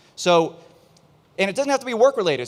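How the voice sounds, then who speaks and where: Lively intonation colors this man's speech. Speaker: business consultant. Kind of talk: presentation to live audience. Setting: outdoor event stage with audience. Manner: fast.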